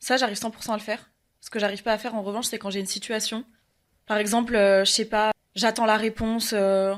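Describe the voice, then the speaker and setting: Very fast speech comes from a woman with a fairly high pitch. Her intonation is monotone and flat. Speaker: podcast guest, performer who does castings. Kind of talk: casual chat.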